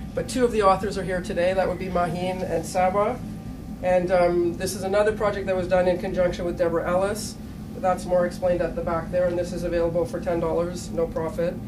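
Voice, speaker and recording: A woman talks very fast in a medium pitch with monotone, flat intonation over noticeable background noise. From Canada. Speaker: teacher. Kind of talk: conference presentation. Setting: stage with audience.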